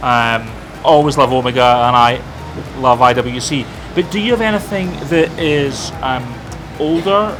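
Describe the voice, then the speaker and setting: With music in the background, a man at medium pitch speaks fairly slowly with lively intonation and long, frequent pauses. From Scotland. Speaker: travel vlogger. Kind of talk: casual chat. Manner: halting.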